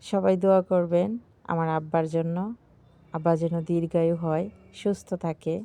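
A woman's fairly low voice with a dark, mellow tone comes through over a quiet background. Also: fairly even intonation. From rural Bangladesh. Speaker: vlogger. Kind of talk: vlog narration. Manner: casual, conversational.

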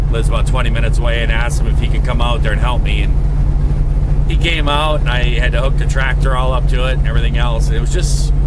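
Against loud background noise, a man rattles along at a very fast pace with hardly any pauses, the sound dry with no echo. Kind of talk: casual vlog chat. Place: car.

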